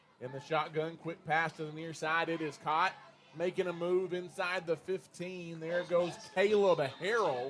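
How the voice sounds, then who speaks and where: A man with a Texas accent, high-pitched, with fairly even intonation. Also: moderate pace. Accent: Texas twang. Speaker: play-by-play sports announcer. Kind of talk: live commentary.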